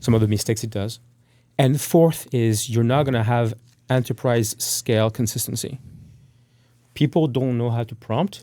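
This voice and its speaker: A man with a French accent, a dark, mellow tone and medium pitch, at a moderate pace with ordinary pitch variation and long, frequent pauses. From France. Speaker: tech startup CEO. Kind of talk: podcast interview.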